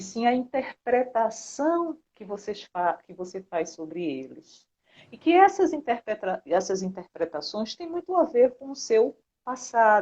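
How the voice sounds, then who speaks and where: A woman at a very slow pace, with very wide pitch swings. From Brazil, Recife, Pernambuco. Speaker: psychologist. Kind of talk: interview.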